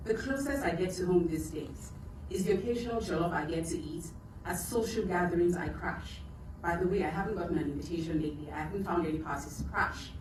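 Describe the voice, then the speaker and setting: A woman speaks very fast in a Nigerian accent, her pitch fairly low with ordinary variation. Noticeable background noise runs beneath her. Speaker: writer and poet. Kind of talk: spoken word poetry performance. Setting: live event.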